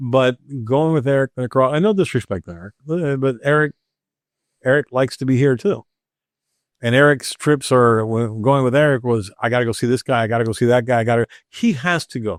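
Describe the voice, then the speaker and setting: A man speaks fairly quickly at a medium pitch with ordinary pitch variation. It's an unremarkable speaking voice over a quiet background. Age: 60s. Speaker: cigar master blender. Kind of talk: casual chat.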